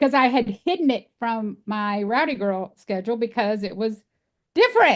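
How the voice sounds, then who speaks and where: Speaking with a Texas accent, a woman with a fairly high pitch talks at a moderate pace with lively intonation. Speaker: animal sanctuary founder. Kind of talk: podcast interview.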